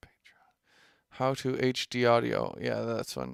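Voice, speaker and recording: A man's voice is heard on a very clean recording with a silent background. The sound is dry and close, with no echo. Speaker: musician and livestreamer. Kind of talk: casual livestream chat. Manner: slow; halting, many restarts.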